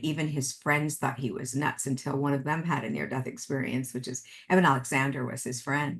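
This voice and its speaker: This woman has a very deep, low pitch. She speaks at a moderate pace. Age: 60s. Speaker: author and medium. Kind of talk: interview conversation.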